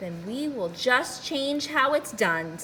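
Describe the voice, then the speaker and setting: Putting on a high-pitched character voice, a woman speaks at a fairly slow pace with clear background noise behind her. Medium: read story. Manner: gentle, patient.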